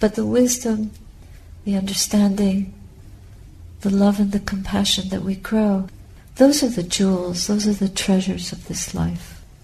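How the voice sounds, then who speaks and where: Delivery comes at a moderate pace with fairly even intonation and long, frequent pauses. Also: woman, medium pitch for a woman. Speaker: Buddhist nun giving a dharma talk. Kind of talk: dharma talk, calm and reflective teaching to a meditation group.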